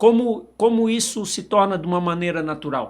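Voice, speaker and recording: The recording is very clean, with a silent background. A man speaks at a fairly slow pace with ordinary pitch variation. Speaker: podcast host and sales representative. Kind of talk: interview podcast. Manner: halting.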